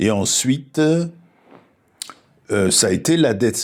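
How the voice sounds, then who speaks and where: Very wide pitch swings run through a very clean recording with a silent background. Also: man. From southern France (Toulouse), then Paris from age 12. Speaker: philosopher and spiritual speaker. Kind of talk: reflective interview conversation. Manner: halting, with frequent false starts.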